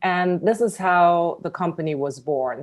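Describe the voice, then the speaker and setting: With a German accent, a woman talks at a moderate pace in a dark, mellow tone, her pitch varying in an ordinary way over a quiet background. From Germany. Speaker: tech company CEO. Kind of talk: interview. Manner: halting, many fillers.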